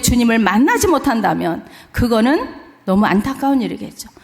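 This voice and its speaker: A woman with a high pitch speaks at a fairly slow pace in an animated tone with lively intonation, amid audible room echo and noticeable background noise. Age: 60s. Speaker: missionary. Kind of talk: sermon. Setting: church.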